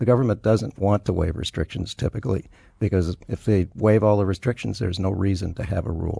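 A man talks at a very fast pace in a dark, mellow, somewhat breathy tone, with fairly low pitch, ordinary pitch variation and a dry, close sound with no echo. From US, moved around a lot (born El Paso, Texas). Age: 60s. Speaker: immigration lawyer. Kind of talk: interview.

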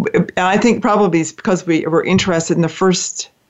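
Delivered at a fairly quick pace, an ordinary speaking voice moves with ordinary pitch variation. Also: woman. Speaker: radio host. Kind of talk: interview chat. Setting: internet talk radio show. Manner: warm, friendly, conversational.

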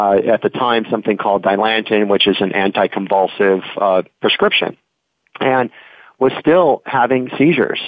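In a normal speaking voice, a man talks at a moderate pace and a fairly low pitch, with ordinary pitch variation and very even loudness. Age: 50s. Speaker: naturopath. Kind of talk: interview.

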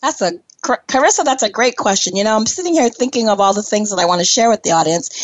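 A woman's voice swings very widely in pitch. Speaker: podcast host. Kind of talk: casual interview chat.

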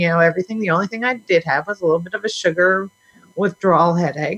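With ordinary pitch variation, this is a plain, everyday voice. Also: woman. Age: 50s. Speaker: health coach. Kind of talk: interview.

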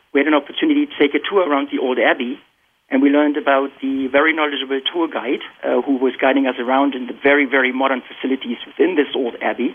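With a German accent, a man speaks very fast in a fairly high pitch and fairly even intonation. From Germany. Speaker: tech industry professional. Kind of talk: panel discussion.

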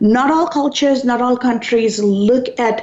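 A woman talks at a moderate pace, with noticeable noise in the background. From Sri Lanka. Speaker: radio talk show host. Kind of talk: talk radio interview. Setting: radio studio.

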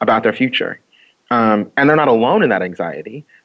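Bright and sharp in tone, a man with an American accent talks at a fairly quick pace and a medium pitch. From Oakland, California. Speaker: activist. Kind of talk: casual interview.

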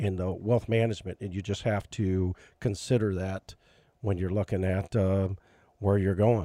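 Dry and close with no echo on a very clean recording with a silent background, a man speaks at a moderate pace in a fairly low pitch with a dark, mellow tone, fairly even intonation and long, frequent pauses. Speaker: financial radio show host. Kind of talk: radio talk show, casual chat. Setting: radio studio.

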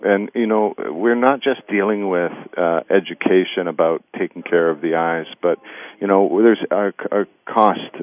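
His pitch rises and falls in an ordinary way. This man's speech moves at a moderate pace. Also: fairly low pitch for a man. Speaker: military veteran working in safety technology. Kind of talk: radio interview. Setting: phone call. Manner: halting, many fillers.

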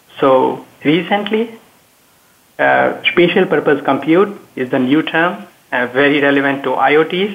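With a plain, everyday voice, a man talks at a fairly slow pace, fairly high in pitch with ordinary pitch variation. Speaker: technology expert. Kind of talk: panel discussion.

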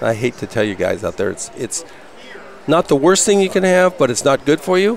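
A high-pitched male voice with very wide pitch swings and a fairly quick pace, over noticeable background noise. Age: 60s. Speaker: health products vendor. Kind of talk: interview. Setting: expo hall booth broadcast.

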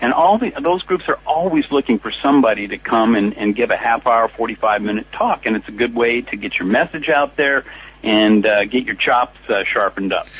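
A man's normal speaking voice in a General American accent, medium in pitch, at a moderate pace with hardly any pauses and ordinary pitch variation. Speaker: speakers bureau founder.

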